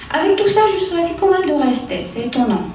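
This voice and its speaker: Over noticeable background noise and audible room echo, a woman with a Romanian accent speaks at a moderate pace, her pitch swinging very widely. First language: Romanian (speaking French). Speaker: psychiatrist. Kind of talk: conference talk. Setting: conference hall with audience. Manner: halting, many hesitations.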